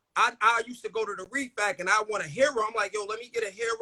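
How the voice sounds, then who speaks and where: Projecting a raised voice, a man speaks at a very fast pace with an extremely high pitch, a bright, sharp tone and fairly even intonation. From New York, Brooklyn (Crown Heights). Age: 40s. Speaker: comedian. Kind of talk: casual chat.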